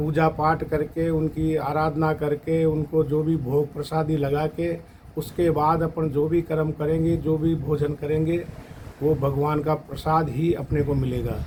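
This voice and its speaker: With hardly any pauses, a man holds a fairly high pitch in a flat monotone at very even loudness, with noticeable background noise behind him. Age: 60s. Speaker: devotee at fire ritual. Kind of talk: testimony.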